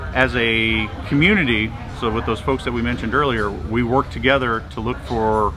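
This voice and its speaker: A man's voice with ordinary pitch variation over clear background music. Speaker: presenter. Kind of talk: interview answer. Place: hall.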